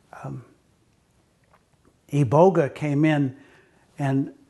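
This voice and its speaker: A man's somewhat breathy, dark and mellow voice at a fairly high pitch. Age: 60s. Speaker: channel owner talking about personal experience. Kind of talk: personal monologue to camera. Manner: many filler words (um, uh).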